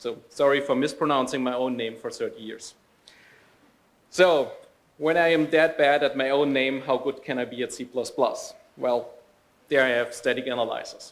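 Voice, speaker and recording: A man with a German accent talks at a moderate pace and fairly high pitch, with fairly even intonation and long, frequent pauses. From Germany. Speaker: software developer trainer and speaker. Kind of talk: conference talk.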